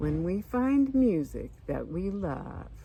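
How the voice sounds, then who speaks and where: Putting on a character voice, a woman speaks at a very slow pace with light background noise behind her. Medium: read story.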